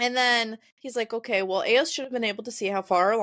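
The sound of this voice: The speaker uses an unforced reading voice. This is heard throughout the clip.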